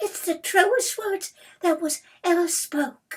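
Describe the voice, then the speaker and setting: In a put-on character voice, a female-sounding speaker squeaks at an extremely high pitch, moving at a fairly slow pace. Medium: read story. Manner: hesitant, eager to agree.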